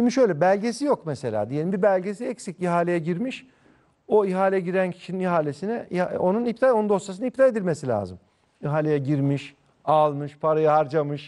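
This man talks at a fairly quick pace with lively intonation. His tone is dark and mellow, though his pitch sits high. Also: quiet background. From Ankara, Turkey (Mamak); Turkey. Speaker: district mayor and politician; district mayor, politician. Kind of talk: TV news interview. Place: studio. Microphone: lapel.

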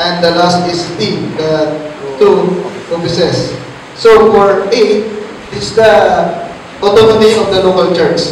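A man's high voice with fairly even intonation and long, frequent pauses, set in strong room echo with light background noise. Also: fairly slow pace. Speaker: Bible teacher. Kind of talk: Bible study teaching. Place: church.

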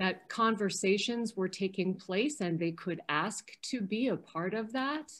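A woman talks very slowly at a medium pitch. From US Midwest, Chicago. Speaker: historic preservation advocate. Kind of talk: Q&A discussion. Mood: earnest, somewhat disheartened. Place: home room. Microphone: video call.

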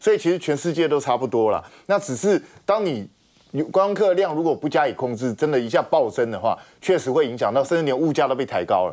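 A man speaks in a normal speaking voice, fairly high-pitched and at a fairly quick pace. His intonation is lively, and the background is quiet. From Taiwan. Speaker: talk show guest commentator. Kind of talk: TV panel discussion. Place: studio.

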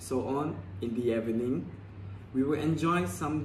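Somewhat breathy, a man talks at a fairly slow pace. Light background noise and audible room echo are present. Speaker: language learner or vlogger. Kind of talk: casual story talk, like a speaking practice. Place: home room. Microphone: phone near.

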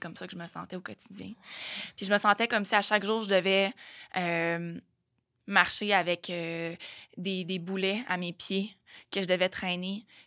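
A woman in a Quebec accent, bright and sharp in tone, medium in pitch, monotone and flat, at a fairly slow pace over a quiet background. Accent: Québécois French. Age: 30s. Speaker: fitness trainer and nutrition coach; fitness trainer, nutrition coach. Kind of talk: casual chat. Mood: reflective, personal story. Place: studio. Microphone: studio mic.

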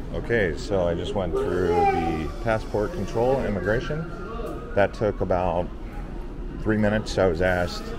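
A man talks at a moderate pace with ordinary pitch variation over loud background noise. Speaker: travel vlogger. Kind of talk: casual vlog chat. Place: station. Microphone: phone near.

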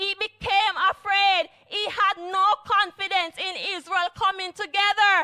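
Over a quiet background, a raised, projected voice speaks at a very slow pace. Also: woman. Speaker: church elder preaching. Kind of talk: sermon. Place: church. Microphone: handheld.

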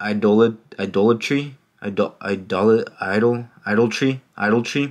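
With ordinary pitch variation, the reading is done in an unforced reading voice.

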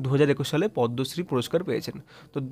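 A man with a fairly high pitch and fairly even intonation, an unremarkable speaking voice, on a very clean recording with a silent background. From West Bengal, Nadia district. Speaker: exam prep tutor. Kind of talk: tutorial. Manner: repetitive, casual.

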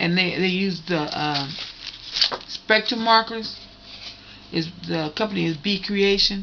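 Over noticeable background noise, a woman talks with ordinary pitch variation. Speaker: craft video creator. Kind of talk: casual show-and-tell tutorial. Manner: halting. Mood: pleased, chatty. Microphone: phone near.

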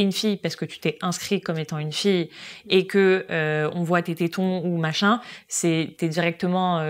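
A woman's voice with fairly even intonation, a normal speaking voice. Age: 20s. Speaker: social media marketing worker at a luxury brand; guest. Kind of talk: casual chat.

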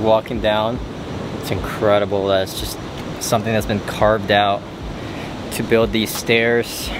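Over noticeable background noise, a man talks at a moderate pace in a fairly low, monotone, flat voice, the sound dry with no echo. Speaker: travel vlogger. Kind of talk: casual vlog chat. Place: forest. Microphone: phone near.

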